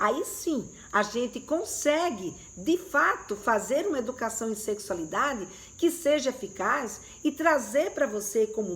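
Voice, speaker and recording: High pitch and very wide pitch swings in a woman's voice. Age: 60s. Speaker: sex educator. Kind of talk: live stream talk to viewers. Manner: conversational, hesitant fillers.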